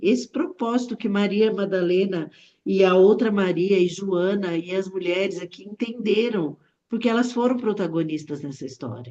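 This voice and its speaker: A woman with a dark, mellow tone speaks at a fairly slow pace. Her pitch is medium, with ordinary variation. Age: 60s. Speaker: Bible study participant. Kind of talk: Bible study discussion. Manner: casual.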